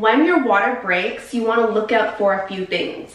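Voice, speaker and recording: Audible room echo surrounds a woman speaking at a moderate pace. Her pitch variation is ordinary. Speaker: birth educator or doula. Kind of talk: educational talk to camera. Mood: warm, reassuring. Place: bathroom.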